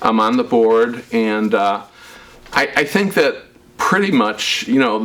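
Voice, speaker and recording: A man speaks at a medium pitch with lively intonation over noticeable background noise. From US Midwest, Chicago south suburbs. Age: 60s. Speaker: local politician. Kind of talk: interview. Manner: halting, with frequent fillers.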